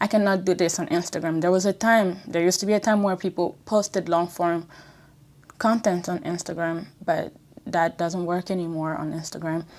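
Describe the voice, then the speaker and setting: A woman with a French accent speaks at a fairly low pitch and a moderate pace. Her intonation is fairly even, and the recording is very clean with a silent background. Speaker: YouTuber. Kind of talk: casual vlog talk. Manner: conversational, some hesitation.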